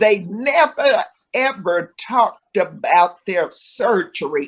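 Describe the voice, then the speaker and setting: Her pitch high and her intonation lively, a woman speaks at a very slow pace. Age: 70s. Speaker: nurse. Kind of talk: interview.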